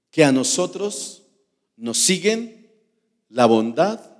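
A man at a very slow pace, with very wide pitch swings, against a quiet background. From Colombia. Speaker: pastor. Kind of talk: sermon. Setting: church. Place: church. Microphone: handheld.

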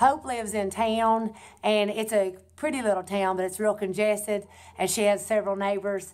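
Woman at a moderate pace with monotone, flat intonation against a quiet background. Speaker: fashion vlogger. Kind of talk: casual vlog chat. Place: home room. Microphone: webcam.

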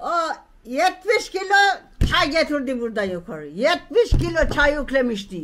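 Over light background noise, a woman speaks at a very slow pace with very wide pitch swings. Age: old. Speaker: tea farmer. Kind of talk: interview; interview answer. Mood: warm, laughing, reminiscing. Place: garden. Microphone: phone near.

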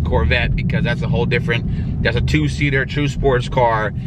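A man speaks fairly quickly, the sound dry with no echo, amid loud background noise. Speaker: car vlogger. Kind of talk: casual vlog chat. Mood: mildly disappointed, candid. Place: car. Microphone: phone near.

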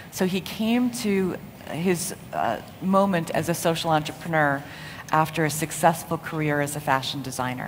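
Over light background noise, a woman with an American accent speaks at a very deep, low pitch, with ordinary pitch variation and a moderate pace. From United States. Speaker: impact investor; conference panelist. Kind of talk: conference talk. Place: hall. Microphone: podium.

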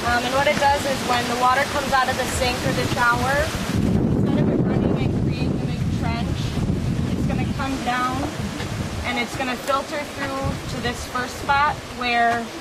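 Moderate pace broken by long, frequent pauses, over loud background noise. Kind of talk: casual explanation to camera. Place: garden. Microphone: camera far.

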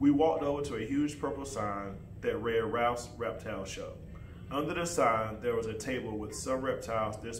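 Lively intonation over plain reading aloud

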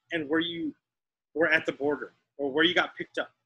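Speaking at a fairly quick pace with an American accent, a man uses a raised, projected voice with a bright, sharp tone. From Texas. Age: 40s. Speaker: artist; teacher. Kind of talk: casual chat; interview answer. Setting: video call. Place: studio. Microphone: video call.

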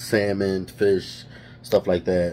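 Amid light background noise, a man speaks with a very deep, low pitch and fairly even intonation. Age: 30s. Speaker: vlogger. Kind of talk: casual vlog monologue. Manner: halting, many fillers. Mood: candid, determined, joking. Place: kitchen. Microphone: phone near.

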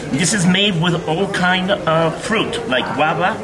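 Against noticeable background noise, a man speaks very slowly with ordinary pitch variation. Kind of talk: explaining dishes to guests. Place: cafe.

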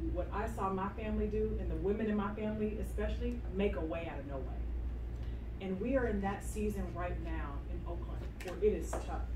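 Against noticeable background noise, a woman talks at a moderate pace in a monotone, flat intonation. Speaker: mayoral candidate and city council member. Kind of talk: campaign speech and Q&A at community meeting. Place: meeting room. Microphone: camera far.

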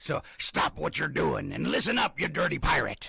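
Over light background noise, a man puts on a raspy character voice. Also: moderate pace. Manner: commanding, gruff.

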